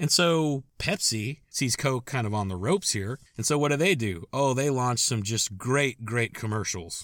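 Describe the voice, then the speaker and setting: Over a very clean recording with a silent background, a man with an unremarkable speaking voice talks at a moderate pace with lively intonation. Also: medium pitch for a man, hardly any pauses. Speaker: podcast host. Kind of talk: scripted-style storytelling monologue. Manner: casual, conversational, wry and humorous; warm, upbeat sign-off.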